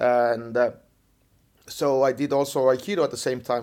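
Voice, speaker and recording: Speaking in a monotone, flat intonation, a man with an Estonian accent has a medium pitch. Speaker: jiu-jitsu coach. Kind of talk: interview. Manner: halting.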